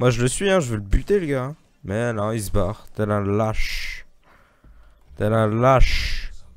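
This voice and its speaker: A man at medium pitch talks at a very slow pace with lively intonation and long, frequent pauses, in a dry sound with no echo. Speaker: gaming youtuber; gamer streamer. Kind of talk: gameplay commentary. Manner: animated. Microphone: new microphone, no pop filter yet; headset.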